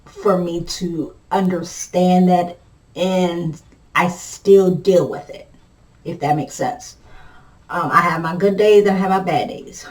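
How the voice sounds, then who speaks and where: Medium pitch from a woman, somewhat breathy, with fairly even intonation. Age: 40s. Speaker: vlogger living with multiple sclerosis. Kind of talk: casual chat. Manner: halting, with repetitions and fillers.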